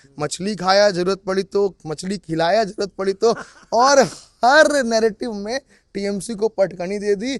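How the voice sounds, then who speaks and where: A man speaks in a high voice with an animated tone and ordinary pitch variation. The sound is dry and close, with no echo. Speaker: political commentator. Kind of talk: casual chat.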